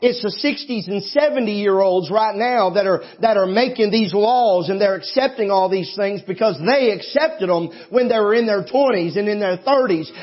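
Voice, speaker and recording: A man's high-pitched, animated voice at a moderate pace, with ordinary pitch variation, hardly any pauses and noticeable background noise. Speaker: pastor. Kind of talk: sermon. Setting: church. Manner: animated, fervent preaching with emphatic delivery.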